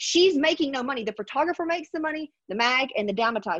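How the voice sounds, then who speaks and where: Her intonation is lively. This woman speaks at a very fast pace. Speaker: podcast host. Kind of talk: casual chat. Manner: animated.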